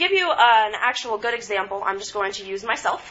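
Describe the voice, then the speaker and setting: Fairly high-pitched woman's speech at a moderate pace, ordinary pitch variation, and noticeable background noise. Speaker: student presenter. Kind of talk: student presentation.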